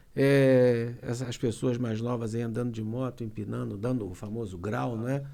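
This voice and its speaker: Medium-pitched male voice with a dark, mellow tone. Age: 60s. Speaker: lawyer. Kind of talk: casual chat.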